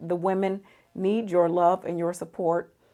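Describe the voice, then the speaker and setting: Speaking at a fairly slow pace, a woman uses a monotone, flat intonation. Her medium-pitched voice has a dark, mellow tone. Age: 50s. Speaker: psychologist. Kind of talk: casual talk to camera.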